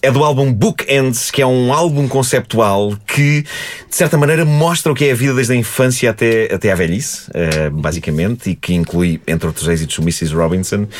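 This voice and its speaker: Through noticeable background noise, a man of medium pitch speaks with very wide pitch swings. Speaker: podcast host. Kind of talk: casual chat.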